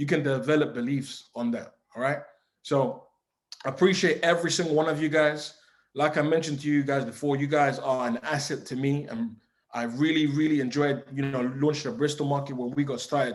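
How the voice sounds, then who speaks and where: Recorded very cleanly against a silent background, a man speaks with a London accent. His pitch is fairly high and his pace fairly quick. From England, East London. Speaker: forex trading mentor. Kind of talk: motivational talk. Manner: animated.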